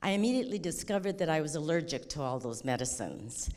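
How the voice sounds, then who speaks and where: Her voice sits very deep and low for a woman. The woman's intonation is lively. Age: 70s. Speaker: medical cannabis patient. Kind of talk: public comment testimony.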